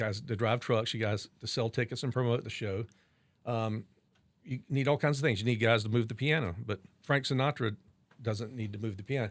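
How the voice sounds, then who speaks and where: In a very clean recording with a silent background, a man with an American accent uses an ordinary speaking voice at medium pitch, speaking at a fairly quick pace with fairly even intonation. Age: 60s. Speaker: wine shop and restaurant owner. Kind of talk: interview conversation.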